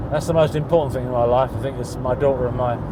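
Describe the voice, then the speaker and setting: A man speaks with a British accent in a room with audible echo. Noticeable background noise runs underneath. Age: 60s. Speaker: interviewee living with bipolar disorder. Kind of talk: documentary interview.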